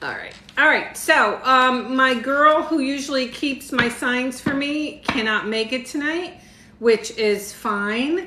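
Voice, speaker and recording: With a raised, projected voice and a high pitch, a woman speaks at a very slow pace, amid noticeable background noise and audible room echo. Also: ordinary pitch variation. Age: 60s. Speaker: tarot reader. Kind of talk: live stream tarot reading. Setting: livestream with viewer comments. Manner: casual, chatty.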